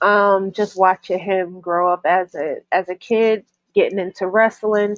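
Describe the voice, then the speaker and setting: At a fairly slow pace, a woman speaks with medium pitch and monotone, flat intonation, the sound dry and close with no echo. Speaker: wrestling podcast co-host. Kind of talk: casual chat.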